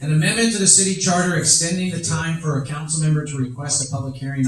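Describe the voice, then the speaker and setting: A man at a very fast pace, with ordinary pitch variation, over noticeable background noise. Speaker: city official presenting charter amendments. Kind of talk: public meeting presentation. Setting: town hall meeting with audience.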